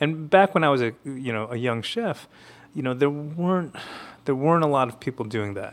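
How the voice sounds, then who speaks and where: A man with a fairly high pitch talks fairly quickly in a normal speaking voice. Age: 40s. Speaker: chef and author. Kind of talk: interview.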